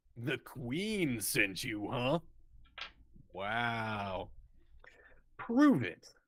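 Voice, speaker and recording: With a put-on character voice, a man talks at a very slow pace and medium pitch. He leaves long, frequent pauses. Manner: skeptical, challenging.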